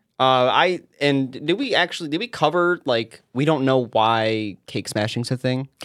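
A man with an unremarkable speaking voice talks at a fairly slow pace, with hardly any pauses. His medium pitch varies in an ordinary way, and the recording is very clean with a silent background. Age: 20s. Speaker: podcast co-host. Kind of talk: casual chat. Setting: studio.

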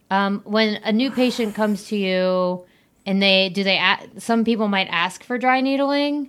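A woman's plain, everyday voice at medium pitch, with ordinary pitch variation and a fairly slow pace. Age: 30s. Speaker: podcast host. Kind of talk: casual interview.

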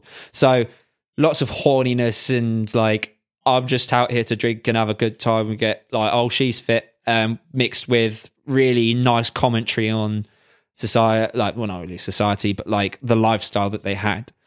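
Someone with a British accent speaks at a moderate pace with fairly even intonation on a very clean recording with a silent background. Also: man, medium pitch for a man. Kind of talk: casual banter between friends, podcast. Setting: living in Germany, recording during lockdown.

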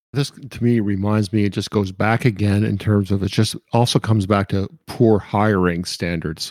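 With an ordinary speaking voice, a man at a fairly low pitch talks at a moderate pace with fairly even intonation and hardly any pauses, in a very clean recording with a silent background. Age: 50s. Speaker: podcast co-host and business advisor. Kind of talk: casual professional discussion.

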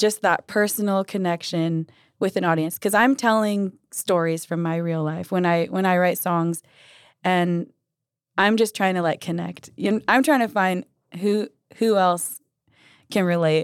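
A woman's plain, everyday voice in an American accent, medium in pitch with ordinary pitch variation, fairly slow, on a very clean recording with a silent background. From Idaho, US. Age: 20s. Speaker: singer-songwriter. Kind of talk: casual chat.

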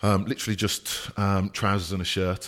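On a very clean recording with a silent background, a man speaks. His pitch is very deep and low, and he has a Birmingham accent. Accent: Brummie. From Birmingham, England. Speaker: recruitment business owner. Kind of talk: casual interview.

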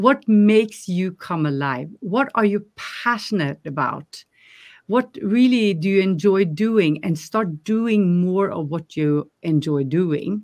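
A woman with a Norwegian accent at medium pitch, very slow but with lively intonation, against a quiet background. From Norway. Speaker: life coach. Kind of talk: interview.

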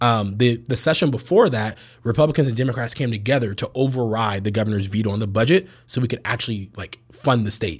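A man with an American accent, medium in pitch, somewhat breathy, very fast, with ordinary pitch variation. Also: hardly any pauses. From US West Coast, San Francisco Bay Area. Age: 20s. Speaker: cannabis company executive. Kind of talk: casual interview chat.

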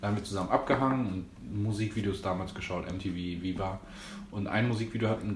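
There is noticeable background noise and audible room echo. A man with a fairly low pitch talks at a fairly quick pace with fairly even intonation. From Berlin, Germany. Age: 20s. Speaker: dancer and choreographer. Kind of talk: casual chat.

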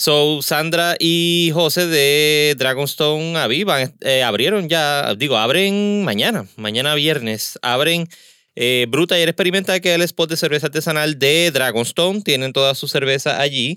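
In a very clean recording with a silent background, a man with a fairly high pitch and a bright, sharp tone speaks at a fairly slow pace with ordinary pitch variation. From Puerto Rico, Caguas. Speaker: podcast host. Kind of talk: casual interview; podcast intro announcements.

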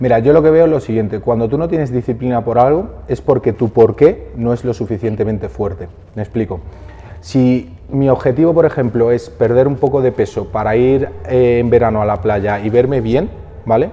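Over noticeable background noise, a man talks at a moderate pace and medium pitch, with ordinary pitch variation. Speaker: fitness entrepreneur. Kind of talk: interview.

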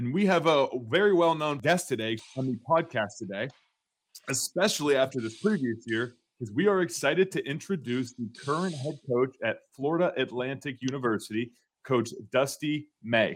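Fairly high in pitch, a man speaks in a normal speaking voice at a moderate pace with lively intonation. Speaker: podcast host. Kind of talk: scripted intro and interview.

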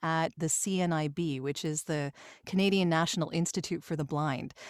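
Heard in a very clean recording with a silent background, a woman uses an ordinary speaking voice at a fairly low pitch, moderate pace and ordinary pitch variation. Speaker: voice actor and singer. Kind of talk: casual interview chat.

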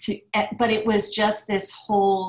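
Somewhat breathy, a woman talks in an American accent. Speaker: business strategist and speaker. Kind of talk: casual interview chat.

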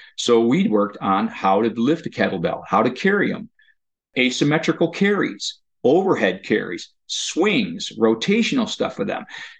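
The man's fairly high voice has vocal fry. His pitch swings very widely. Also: moderate pace. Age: 50s. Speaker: occupational therapist. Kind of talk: interview.

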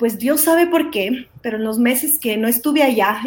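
Vocal fry marks a woman's fairly high-pitched voice. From Guatemala, raised in Ecuador from age six. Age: 40s. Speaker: charity founder. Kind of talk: testimony.

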